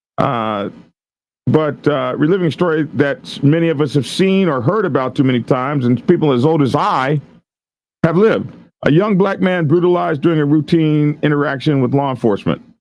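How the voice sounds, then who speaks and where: A man speaks at a fairly quick pace in a plain, everyday voice with a fairly high pitch. His intonation is lively and his loudness very even. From Oklahoma. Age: 60s. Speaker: commentator on viral police videos. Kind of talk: commentary reading an article aloud with asides. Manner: casual, with frequent fillers and restarts.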